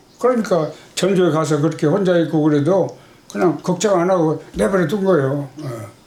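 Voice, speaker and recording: Audible room echo and noticeable background noise surround a man speaking at a fairly quick pace with a fairly high pitch. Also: ordinary pitch variation. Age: 80s+. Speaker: father of a missing person. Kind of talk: interview. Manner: halting.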